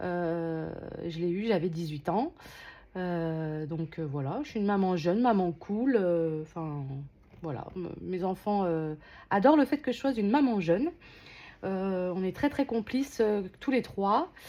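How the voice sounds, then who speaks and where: With music playing in the background, a woman at medium pitch speaks at a very slow pace, using lively intonation and long, frequent pauses. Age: 30s. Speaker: unboxing vlogger. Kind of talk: casual unboxing vlog. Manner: hesitant, many filler sounds.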